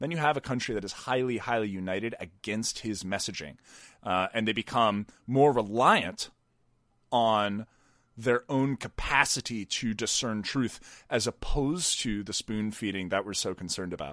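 With an ordinary speaking voice and an American accent, a man at medium pitch talks at a moderate pace with ordinary pitch variation on a very clean recording with a silent background. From rural Pennsylvania, US. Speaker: podcast host and political commentator. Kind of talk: casual interview conversation.

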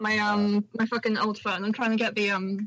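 This woman speaks at a moderate pace with a medium pitch and a fairly bright tone.

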